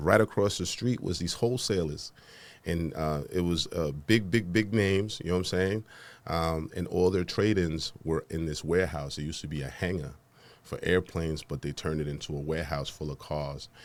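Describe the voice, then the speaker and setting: With a New York accent, a man speaks at a fairly quick pace in a very deep, low voice. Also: ordinary pitch variation. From Honduras, raised in the Bronx, New York. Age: 40s. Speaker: podcast host and entrepreneur. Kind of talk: interview. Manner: casual, conversational.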